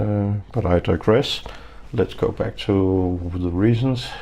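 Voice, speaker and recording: Very slowly, a man with a fairly low voice and a non-native accent speaks with ordinary pitch variation. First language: not English. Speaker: knife reviewer YouTuber. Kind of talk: casual vlog monologue. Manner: slow, halting.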